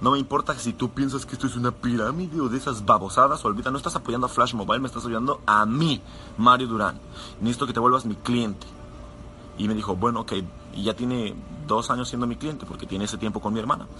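This man talks very fast in an animated tone. His medium pitch shows ordinary variation. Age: 20s. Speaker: network marketing sales leader. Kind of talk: motivational live talk.

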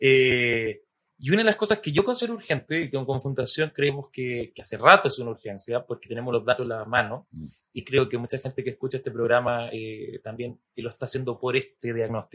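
In an ordinary speaking voice, a man of medium pitch talks at a fairly quick pace with ordinary pitch variation and big swings in loudness. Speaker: podcast host. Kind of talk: interview conversation.

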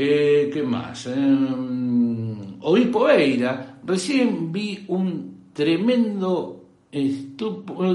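A man speaks at a fairly high pitch with a Rioplatense accent, his pitch swinging very widely, and the room echo is audible. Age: 50s. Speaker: tech livestream host. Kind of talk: casual chat.

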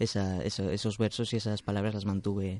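A man's dark, mellow tone in a monotone, flat intonation. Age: young. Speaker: poet. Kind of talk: interview. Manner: halting.

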